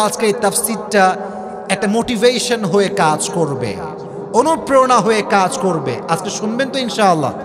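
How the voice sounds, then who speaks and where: A man speaks in a high pitch. Noticeable background noise runs behind him. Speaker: preacher. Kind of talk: sermon. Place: tent. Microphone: podium.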